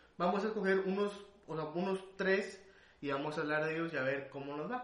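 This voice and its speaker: A man with a Mexican accent talks at a fairly quick pace with ordinary pitch variation, amid noticeable background noise and audible room echo. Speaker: podcast host. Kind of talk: casual chat. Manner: halting.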